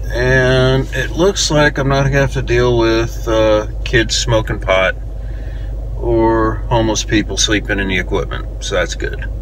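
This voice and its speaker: Over light background noise, a man speaks at a moderate pace in a dry sound with no echo. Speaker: metal detecting hobbyist vlogger. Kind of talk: casual vlog chat. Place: car. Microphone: phone near.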